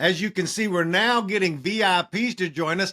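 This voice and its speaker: In a very clean recording with a silent background, a man with a high pitch and a bright, sharp tone talks at a moderate pace with ordinary pitch variation. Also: dry, close sound with no echo. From Mexican American. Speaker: podcast host, political strategist. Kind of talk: casual chat.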